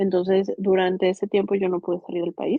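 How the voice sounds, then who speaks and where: Talking at a fairly quick pace, a woman has a medium pitch. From Mexico. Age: 30s. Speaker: migrant interviewee. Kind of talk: interview testimony. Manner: halting, many repetitions and fillers.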